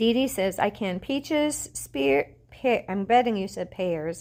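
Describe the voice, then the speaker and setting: A woman talks with vocal fry and an animated tone. Her pitch swings very widely. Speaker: fabric shop owner selling online. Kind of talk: live sales stream. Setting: livestream.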